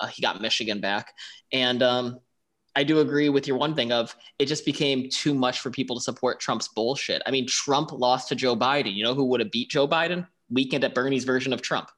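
In a very clean recording with a silent background, a man with an American accent and an ordinary speaking voice talks at a fairly quick pace, with medium pitch and fairly even intonation. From Buffalo, New York. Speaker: podcast co-host. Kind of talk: casual chat.

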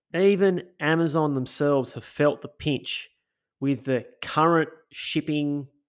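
A man with an Australian accent speaks in an enthusiastic tone at a fairly high pitch, on a very clean recording with a silent background. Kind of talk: casual chat.

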